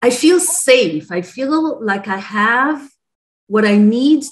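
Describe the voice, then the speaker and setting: Against a quiet background, a woman speaks at a very slow pace, somewhat breathy, her pitch swinging very widely. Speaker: interviewee. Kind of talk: interview answer. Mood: positive, relieved, earnest. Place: home room. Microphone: video call.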